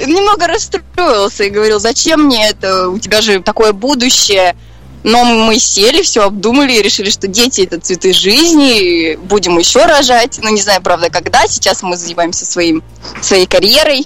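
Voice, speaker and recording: A woman with lively intonation and a fairly high voice talks at a moderate pace while noticeable background noise plays behind her. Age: young. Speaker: young mother. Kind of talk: interview.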